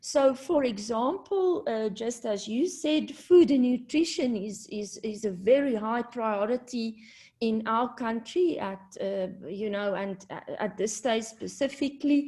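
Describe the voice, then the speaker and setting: A woman's fairly high, dark, mellow voice with a non-native accent, lively intonation, a fairly slow pace and hardly any pauses. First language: not English. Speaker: university community engagement presenter. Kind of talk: presentation at online launch event. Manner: hesitant, many fillers.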